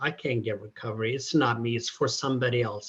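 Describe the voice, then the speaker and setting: A man talks in a somewhat breathy voice. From Ethiopia. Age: 60s. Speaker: peer recovery specialist. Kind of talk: testimony. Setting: conference breakout session.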